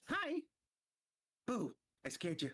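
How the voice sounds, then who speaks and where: A put-on character voice is delivered at a fairly high pitch. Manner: playful, teasing.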